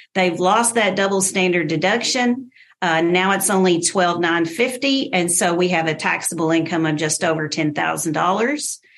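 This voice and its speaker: An unremarkable speaking voice from a woman at a moderate pace, with ordinary pitch variation, very even loudness and hardly any pauses. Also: fairly low pitch for a woman. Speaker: tax specialist. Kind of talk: radio interview explanation.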